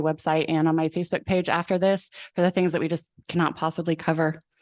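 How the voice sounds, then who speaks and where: Speaking at a fairly quick pace, a woman is heard in a dry, close recording with no echo and a quiet background. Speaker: mayoral candidate. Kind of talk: candidate forum speech. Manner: fast.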